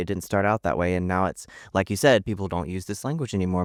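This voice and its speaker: Recorded very cleanly against a silent background, a man's voice comes through dry and close with no echo. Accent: Southern US. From Southern United States. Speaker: social media storyteller and author. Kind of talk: podcast interview answer. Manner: upbeat, enthusiastic.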